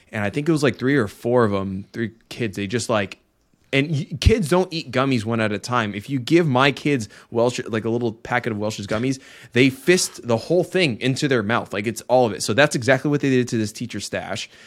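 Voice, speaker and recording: This very clean recording with a silent background has a man with an unremarkable speaking voice, medium pitch and ordinary pitch variation talking at a fairly quick pace. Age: 30s. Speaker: podcast host, father. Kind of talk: casual chat.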